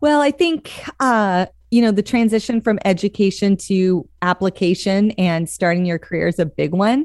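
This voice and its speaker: A woman with an American accent and a plain, everyday voice speaks at a moderate pace and medium pitch, her intonation lively and her loudness very even, in a dry, close recording with no echo that is very clean against a silent background. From Montana. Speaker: church leadership consultant. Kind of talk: casual chat.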